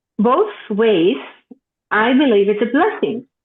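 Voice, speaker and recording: A woman speaks in a Greek accent. Her pace is fairly slow. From Greece. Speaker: author. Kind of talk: interview.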